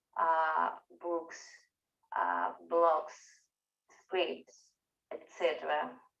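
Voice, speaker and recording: A woman with a strong Venezuelan accent, a very slow pace, long, frequent pauses, and audible room echo. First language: Spanish. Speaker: researcher and part-time professor. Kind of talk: conference talk. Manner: halting, many fillers.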